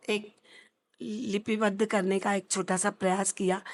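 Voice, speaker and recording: It is an unremarkable speaking voice. The background is quiet. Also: woman. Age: 60s. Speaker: social worker running an old age home. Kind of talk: interview. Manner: formal.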